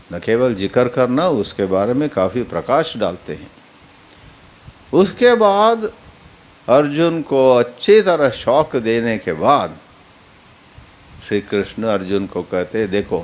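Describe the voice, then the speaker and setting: With a Kannada accent, a man at medium pitch swings his pitch very widely and takes long, frequent pauses against noticeable background noise. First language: Kannada (speaking Hindi). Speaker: spiritual teacher. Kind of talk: religious discourse on scripture. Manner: halting, self-correcting.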